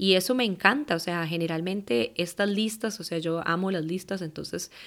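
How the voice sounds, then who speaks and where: A woman at a medium pitch and moderate pace on a very clean recording with a silent background. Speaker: life coach and meditation teacher. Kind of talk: solo podcast monologue.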